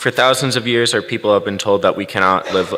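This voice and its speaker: A man's voice over noticeable background noise. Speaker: activist organizer. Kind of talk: speech at interfaith service. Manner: fast.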